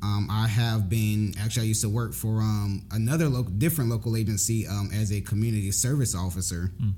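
A man with an American accent, fairly low pitch and ordinary pitch variation, at a very fast pace with hardly any pauses, very even loudness, and audible room echo. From Jacksonville, Florida. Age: 20s. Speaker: former law enforcement officer. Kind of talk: casual chat.

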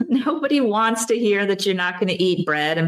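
Against noticeable background noise, a woman's intonation rises and falls in a lively way. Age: 50s. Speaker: doctor. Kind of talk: interview.

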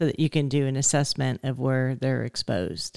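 A woman speaks with a very deep, low pitch and a dark, mellow tone. The sound is dry and close, with no echo. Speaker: podcast co-host interviewer. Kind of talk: casual interview chat.

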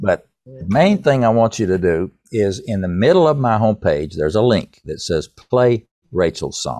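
In an East Tennessee accent, a man speaks at a moderate pace with hardly any pauses. His fairly low pitch swings very widely, and his tone is dark and mellow. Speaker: songwriter and author. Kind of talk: interview, casual chat.

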